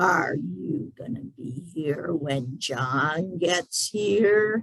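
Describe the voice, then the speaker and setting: A gravelly, put-on character voice is heard. It moves at a very slow pace. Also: man, high pitch for a man. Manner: slow, menacing.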